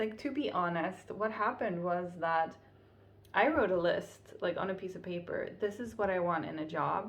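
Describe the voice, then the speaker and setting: A woman talks at a medium pitch with ordinary pitch variation. Room echo is audible. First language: Finnish. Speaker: vlogger. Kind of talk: casual vlog monologue.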